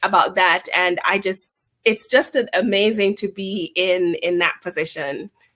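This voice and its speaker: A woman speaks with a Jamaican accent and fairly even intonation. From Jamaica, Montego Bay. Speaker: chamber of commerce executive. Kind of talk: interview.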